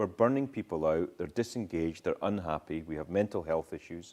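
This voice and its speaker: In a Scottish accent, the speaker talks at a moderate pace on a very clean recording with a silent background. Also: man. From Scottish island. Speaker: social entrepreneur, former consultant. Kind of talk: talk with Q&A at university event.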